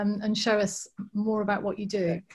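A woman's somewhat breathy voice is heard against a quiet background. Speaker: garden event organiser and host. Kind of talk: casual chat. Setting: video call. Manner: enthusiastic, repeats words often. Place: home room. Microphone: webcam.

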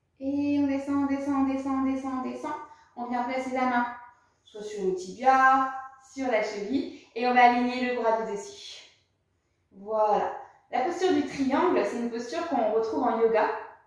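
A woman with a high voice speaks at a moderate pace with ordinary pitch variation and long, frequent pauses. Strong room echo surrounds her words. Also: quiet background. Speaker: yoga or fitness instructor. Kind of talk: exercise class instruction. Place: home room. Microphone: camera far.

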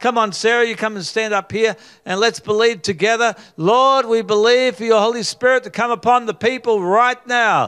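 This man's pitch is extremely high, his tone bright and sharp, and his intonation fairly even. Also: moderate pace. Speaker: preacher leading mass healing prayer. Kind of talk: charismatic healing prayer, calling out ailments and rebuking them. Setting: live gathering with people on stage. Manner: fervent and commanding, with stumbles and filler sounds. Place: studio. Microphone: handheld.

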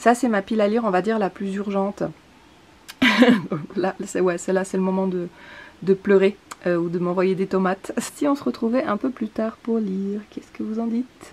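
A woman speaks at a moderate pace, her pitch moving in an ordinary way. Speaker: book vlogger. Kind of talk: casual vlog chat. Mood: light, self-mocking. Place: home room. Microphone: phone near.

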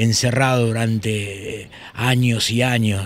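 A man speaks with a dry sound with no echo. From Buenos Aires, Argentina. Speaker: poet, musician and screenwriter. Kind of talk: interview answer. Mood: thoughtful, emotional recollection.

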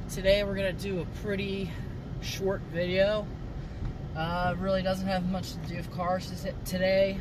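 Noticeable background noise surrounds speech at a moderate pace, with a dry sound and no echo. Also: man. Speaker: car vlogger. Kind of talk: casual vlog chat. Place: car. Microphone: phone near.

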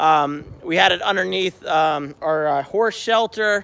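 A man's raised, projected voice, bright and sharp in tone, with ordinary pitch variation over light background noise. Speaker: homesteader vlogger. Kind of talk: casual vlog chat. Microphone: phone near.

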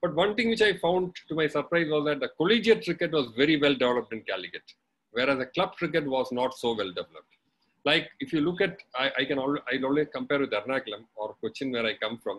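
A man talking at a very fast pace with very wide pitch swings. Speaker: webinar guest. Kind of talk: talk recounting personal history. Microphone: video call.

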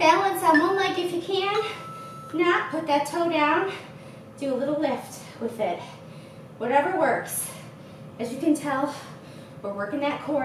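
A woman's high-pitched voice at a fairly slow pace, amid noticeable background noise and audible room echo. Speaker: fitness instructor. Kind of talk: workout instruction. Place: gym.

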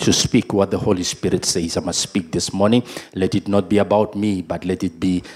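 This is a man speaking at a fairly low pitch. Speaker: pastor. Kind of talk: opening prayer and sermon. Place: church. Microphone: handheld.

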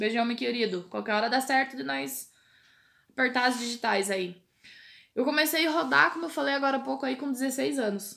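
A high-pitched woman at a moderate pace, with ordinary pitch variation against a quiet background. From Brazil. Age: 30s. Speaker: truck driver. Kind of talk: casual chat. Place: home room. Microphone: webcam.

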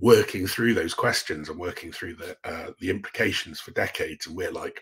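A man's moderately paced speech comes over a quiet background. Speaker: guest. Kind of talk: interview answer. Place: home room.

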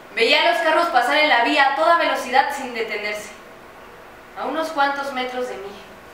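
With strong room echo and light background noise, a woman speaks in a high pitch. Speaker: stage actress. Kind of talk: dramatic stage monologue. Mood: somber, anguished. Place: stage. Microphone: camera far.

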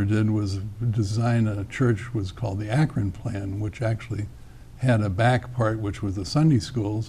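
This man's voice is somewhat breathy, and he keeps a moderate pace. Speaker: interview guest. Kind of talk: interview answer. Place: studio. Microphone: lapel.

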